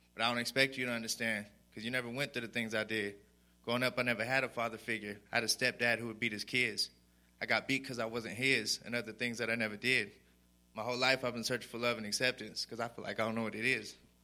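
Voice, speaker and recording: A man with an American accent talks at a very fast pace in a bright, sharp tone, his medium pitch held in a monotone, flat intonation. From Sweetwater, Texas. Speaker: recovery program resident. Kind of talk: testimony. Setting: church.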